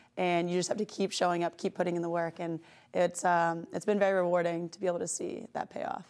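A woman speaks at a very fast pace in a fairly low, monotone voice with flat intonation, in a very clean recording with a silent background. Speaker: hockey coach and former pro player. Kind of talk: interview.

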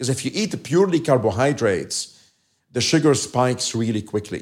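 A man's medium-pitched voice with an Arabic accent and lively intonation, on a very clean recording with a silent background. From Lebanon, outskirts of Beirut. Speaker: endocrinologist and medical professor. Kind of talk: interview.

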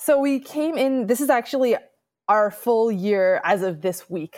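A woman's ordinary speaking voice, moderate in pace with lively intonation, on a very clean recording with a silent background. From New York City. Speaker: professor. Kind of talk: interview.

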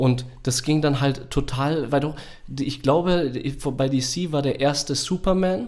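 A man speaks at a very slow pace and fairly high pitch, with fairly even intonation and very even loudness. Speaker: podcast co-host, works at a school. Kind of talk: casual chat.

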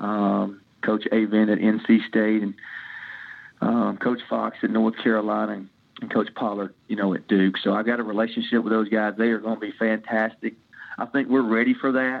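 A man speaks in a Tennessee accent with a fairly low pitch. His intonation is monotone and flat. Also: moderate pace. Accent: Southern US (Tennessee). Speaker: college baseball head coach. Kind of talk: interview. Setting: podcast interview.

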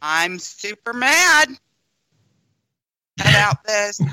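The speaker uses a put-on character voice with fairly high pitch. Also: female-sounding voice. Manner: campy, flamboyant, exaggerated.

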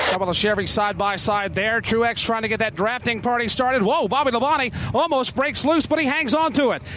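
Against noticeable background noise, a man with an extremely high pitch talks at a fairly quick pace with hardly any pauses, ordinary pitch variation and very even loudness. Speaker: turn announcer. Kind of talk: live race call. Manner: rapid, urgent, vivid play-by-play.

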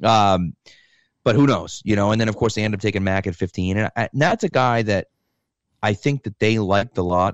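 Fairly quick and dry, a man with an American accent uses an unremarkable speaking voice at a fairly low pitch with ordinary pitch variation, close with no echo over a quiet background. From Massachusetts, US. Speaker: football fan guest. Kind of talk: casual chat.

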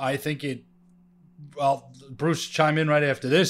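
Speaking at a moderate pace, the man has a normal speaking voice with a fairly high pitch. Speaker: guest co-host, sports podcaster. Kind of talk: casual sports talk. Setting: video call.

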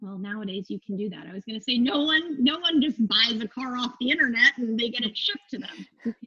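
A woman's high voice with an American accent, fairly quick and hardly pausing, lively in intonation, with big swings in loudness and a dry, close sound free of echo. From Phoenix, Arizona. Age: 30s. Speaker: yoga instructor and studio owner. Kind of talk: casual interview chat.

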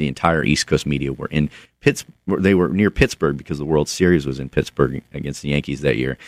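In an American accent, a man with a very deep, low pitch speaks with vocal fry in a dry, close sound with no echo. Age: 30s. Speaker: author. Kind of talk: radio interview. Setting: studio.

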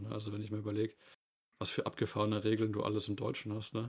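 A man's fairly low voice with vocal fry, going at a very fast pace. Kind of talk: casual chat.

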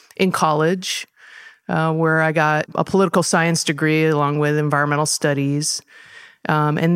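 At a moderate pace, the speaker talks with a Californian accent in a monotone, flat intonation. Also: woman. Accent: Californian American. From Southern California. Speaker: parks department natural areas manager. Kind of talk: interview.

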